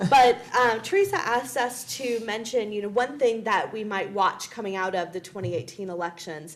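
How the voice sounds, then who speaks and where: A woman with a fairly high voice and ordinary pitch variation, at a moderate pace with hardly any pauses, over noticeable background noise. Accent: American. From US South. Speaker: political science professor. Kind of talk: panel discussion.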